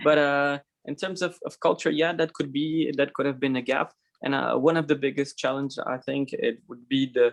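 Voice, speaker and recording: At a moderate pace, a man with a Portuguese accent speaks at a fairly high pitch. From Portugal. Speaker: designer. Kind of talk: conference talk. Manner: halting.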